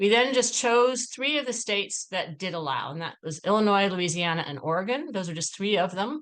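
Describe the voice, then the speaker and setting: A woman talks at a fairly quick pace with hardly any pauses. Her medium-pitched voice carries lively intonation. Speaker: policy researcher. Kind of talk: webinar presentation. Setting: video call. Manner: fast.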